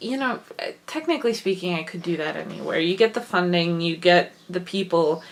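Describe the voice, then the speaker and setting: Through noticeable background noise, a woman with a slight Wisconsin accent talks fairly quickly at a fairly low pitch with ordinary pitch variation. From Wisconsin, US Midwest. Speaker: vlogger and writer. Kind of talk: casual vlog monologue.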